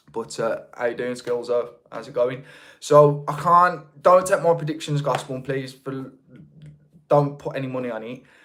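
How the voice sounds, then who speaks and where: A man with a Birmingham accent speaks at a moderate pace, his pitch fairly high with ordinary variation. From England, North Birmingham. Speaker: YouTube creator, livestream host. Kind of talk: casual livestream chat. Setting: livestream.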